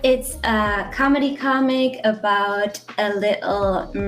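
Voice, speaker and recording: Music plays behind a woman with a German accent. Her pitch is fairly high, with ordinary variation. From Germany. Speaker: webcomic artist. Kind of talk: live drawing tutorial. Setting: live online session.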